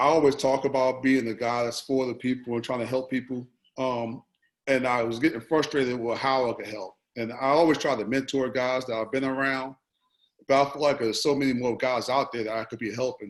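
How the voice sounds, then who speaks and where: The man's intonation is monotone and flat, at a medium pitch. He moves at a fairly quick pace. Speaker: basketball assistant coach. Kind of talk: panel discussion. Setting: video call. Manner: mumbling.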